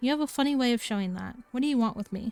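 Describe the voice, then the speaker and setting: A woman speaks at a very fast clip in a high-pitched, put-on character voice. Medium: virtual streamer.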